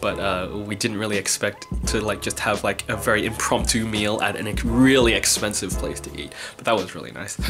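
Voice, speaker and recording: Clear music runs behind the voice. A man talks at a moderate pace. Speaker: vlogger. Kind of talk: casual vlog chat. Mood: cheerful, laughing at times. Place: home room. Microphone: phone near.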